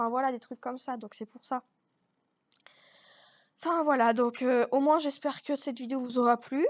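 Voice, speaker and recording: A woman speaks in a high voice at a moderate pace, her intonation fairly even. Her loudness swings widely, and she leaves long, frequent pauses. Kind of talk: casual talk to camera. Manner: hesitant, searching for words.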